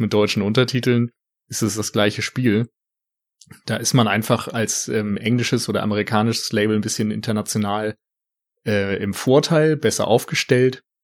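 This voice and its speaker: A man speaks at a moderate pace with medium pitch and fairly even intonation. He has an unremarkable speaking voice. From rural Germany. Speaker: film podcaster. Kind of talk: casual chat. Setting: remote call.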